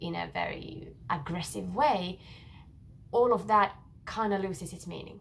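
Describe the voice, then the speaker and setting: With audible room echo around her, a woman speaks at a moderate pace and medium pitch, her voice showing vocal fry. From Finland. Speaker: singer-songwriter. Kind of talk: casual talk explaining her song lyrics. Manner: hesitant, with frequent filler words.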